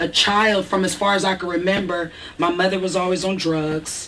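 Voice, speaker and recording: A woman with an American accent speaks at a medium pitch. The room echo is audible, and there is noticeable background noise. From Eugene, Oregon, US. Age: 40s. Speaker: interviewee. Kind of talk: interview.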